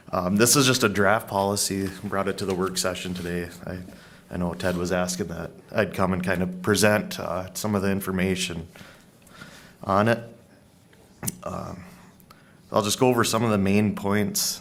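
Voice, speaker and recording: Pausing long and often, a man with a fairly low pitch talks at a moderate pace amid audible room echo. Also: fairly even intonation. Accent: American. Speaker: county staff presenting policy. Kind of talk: public meeting presentation. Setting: county board work session. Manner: loud.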